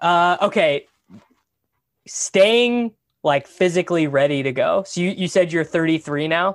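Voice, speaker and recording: A man with an American accent speaks at a high pitch and a fairly slow pace, with ordinary pitch variation and long, frequent pauses. The recording is very clean, with a silent background and a dry, close sound with no echo. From Kansas. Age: 20s. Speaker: podcast host. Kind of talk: casual chat.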